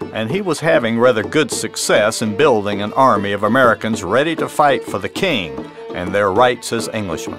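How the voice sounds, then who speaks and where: A man's medium-pitched voice at a moderate pace, with lively intonation and music in the background. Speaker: author and history narrator. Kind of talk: documentary history narration.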